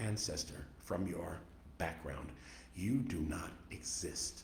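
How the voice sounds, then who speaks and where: A fairly low male voice with an American accent, vocal fry and very wide pitch swings, plus audible room echo. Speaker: author. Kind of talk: radio interview.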